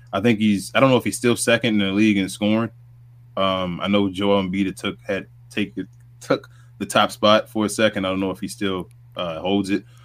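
A fairly low-pitched male voice with a New York accent and ordinary pitch variation. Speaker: sports podcast co-host. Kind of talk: casual sports recap chat.

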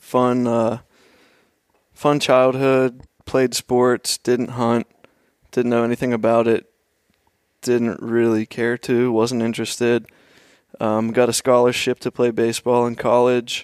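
Recorded dry and close with no echo, a man talks at a fairly slow pace with long, frequent pauses. His medium-pitched voice is monotone and flat, with a slight Pennsylvania accent. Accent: slight regional Pennsylvania. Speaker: hunter, apparel business owner. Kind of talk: casual chat.

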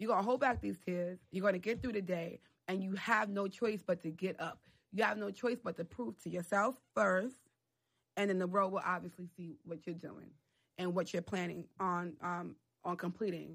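A woman with a New York accent, medium in pitch with ordinary variation, at a moderate pace on a very clean recording with a silent background. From US Northeast, the Bronx, New York City. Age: 20s. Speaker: PR professional. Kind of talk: casual interview.

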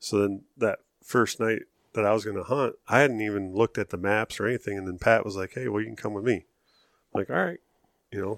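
With an American accent, a man with a fairly low voice talks at a very fast pace with ordinary pitch variation, in a dry, close sound with no echo. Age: 40s. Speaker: hunter. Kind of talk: casual chat.

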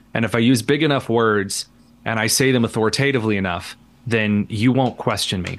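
Against a quiet background, a man with a Midwestern American accent talks at a fairly quick pace in a medium pitch with fairly even intonation. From Indiana, rural. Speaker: radio host and columnist. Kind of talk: casual interview chat. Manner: halting, many fillers.

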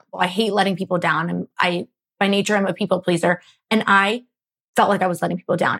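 With an American accent, a woman talks at a very fast pace in a monotone, flat intonation and medium pitch, the sound dry and close with no echo. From Philadelphia suburbs, US. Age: 20s. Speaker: food blogger and entrepreneur. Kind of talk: casual interview.

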